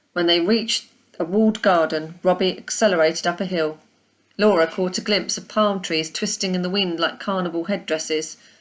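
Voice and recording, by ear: A woman speaks at a moderate pace with ordinary pitch variation. Her voice is fairly low-pitched, with a fairly bright tone.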